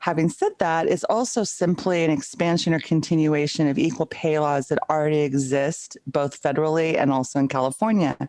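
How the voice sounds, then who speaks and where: Very deep, low female voice, pitch moving in an ordinary way. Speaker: HR consultant, company founder. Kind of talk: webinar presentation. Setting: online webinar call. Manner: fast.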